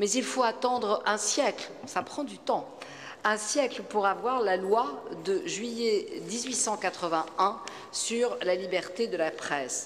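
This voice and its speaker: A woman's fairly high voice with lively intonation at a very slow pace, amid noticeable background noise and audible room echo. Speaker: media regulator, former TV news presenter. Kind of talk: conference talk. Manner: hesitant.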